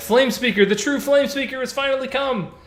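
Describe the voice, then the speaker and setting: A man puts on a character voice, pitched extremely high for a man, and talks at a fairly quick pace. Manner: awed, reverent, excited.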